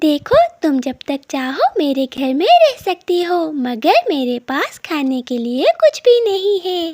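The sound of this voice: Using a cartoonish character voice, a woman talks at an extremely high pitch with very wide pitch swings. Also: fairly slow pace, dry, close sound with no echo.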